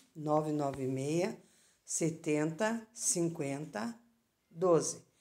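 A woman with a very deep, low pitch and ordinary pitch variation speaks in a dark, mellow tone. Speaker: knife seller. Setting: video recording. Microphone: phone near.

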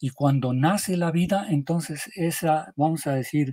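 A man's dark, mellow tone at a fairly high pitch, fairly slow in pace, in dry sound with no echo over a quiet background. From Mexico, Michoacán. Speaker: geologist; interviewee. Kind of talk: interview. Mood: calm explanatory. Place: home room.

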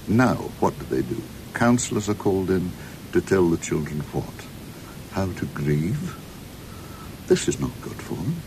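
A man with a very deep, low pitch speaks at a moderate pace, his pitch swinging very widely. Long, frequent pauses break his speech over noticeable background noise. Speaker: interviewee. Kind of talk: interview answer. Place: studio. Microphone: studio mic.

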